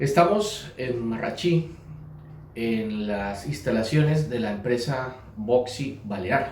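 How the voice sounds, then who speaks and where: A man with a medium pitch speaks at a very slow pace. His intonation is lively, and noticeable background noise is present. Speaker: interviewer, channel host. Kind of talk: interview questions.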